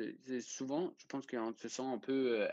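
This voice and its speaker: Speaking at a very slow pace with a slight Danish accent, a man comes through in a dry, close sound with no echo. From Denmark. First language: Danish (speaking French). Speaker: student sailor. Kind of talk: interview. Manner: halting.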